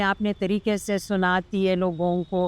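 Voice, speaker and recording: A woman with a Lithuanian accent is heard in a dry, close sound with no echo. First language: Lithuanian (speaking Hindi). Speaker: Hindi teacher and classical dancer. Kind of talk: interview conversation. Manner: halting, with fillers.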